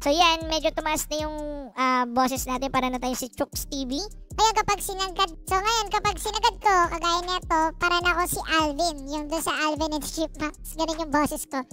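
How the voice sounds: A man puts on a squeaky character voice at an extremely high pitch. He keeps a moderate pace over clear background noise.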